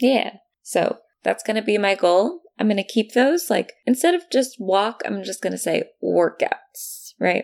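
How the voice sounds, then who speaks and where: A fairly slow delivery with an American accent, the sound dry and close with no echo. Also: woman. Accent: her own accent, noted by herself. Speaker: podcast co-host. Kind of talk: casual chat. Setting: remote recording across countries.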